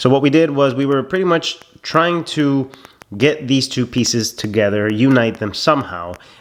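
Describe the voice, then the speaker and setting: With noticeable noise behind him, a man speaks, his pitch varying in an ordinary way. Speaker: car build video creator. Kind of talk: workshop vlog voiceover.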